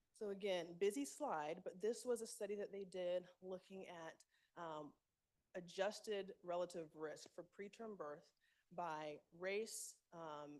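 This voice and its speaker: Speaking fairly slowly, a woman uses an ordinary speaking voice at medium pitch with ordinary pitch variation. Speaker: medical speaker presenting research. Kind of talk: conference presentation.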